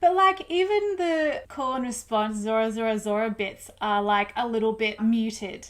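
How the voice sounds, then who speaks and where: In a very clean recording with a silent background, a woman with an Australian accent and a fairly high pitch speaks at a moderate pace. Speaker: music reviewer YouTuber. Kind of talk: casual video review.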